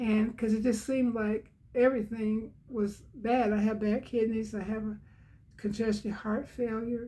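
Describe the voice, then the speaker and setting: Somewhat breathy, fairly high-pitched woman's voice with a dark, mellow tone at a moderate pace. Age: 80s+. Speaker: devotional channel host. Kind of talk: devotional talk. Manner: halting.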